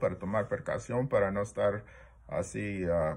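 A man's somewhat breathy voice at a moderate pace. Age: 60s. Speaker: multiple sclerosis patient vlogger. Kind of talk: personal video diary; casual vlog chat. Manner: halting, many fillers. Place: home room. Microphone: phone near.

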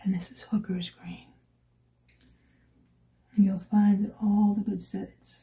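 A woman's somewhat breathy, dark, mellow voice at medium pitch, monotone and flat, very slow with long, frequent pauses and big swings in loudness. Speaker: watercolor artist. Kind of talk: ASMR art tutorial narration. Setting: quiet room with ambient sound. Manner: soft-spoken, sometimes whispering.

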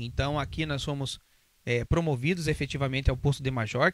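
A man speaks at a moderate pace in a fairly high voice, recorded dry with no echo against a quiet background. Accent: Curitiba. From Brazil, Curitiba; Brazil. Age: 40s. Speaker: police officer; interviewee. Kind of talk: interview. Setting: studio. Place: studio. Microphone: handheld.

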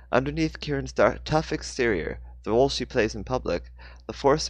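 A passage read aloud, natural in voice

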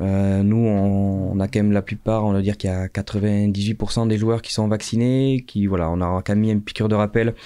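Against a quiet background, a man talks in a fairly low pitch with a dark, mellow tone. His intonation stays fairly even. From France, Dordogne (Sarlat); Dordogne, France. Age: 30s. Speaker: rugby coach. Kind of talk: casual interview. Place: studio. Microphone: studio mic.

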